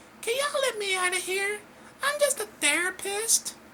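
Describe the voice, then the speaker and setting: In a put-on character voice, the speaker talks at an extremely high pitch over clear background noise. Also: moderate pace. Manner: screaming.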